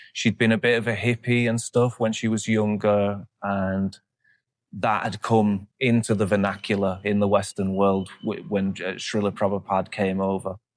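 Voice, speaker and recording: At a moderate pace, a man with a Yorkshire accent speaks in a fairly low pitch with a monotone, flat intonation, in a very clean recording with a silent background. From northern England, Leeds. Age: 40s. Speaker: monk. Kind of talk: interview testimony. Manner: halting, frequent repetitions.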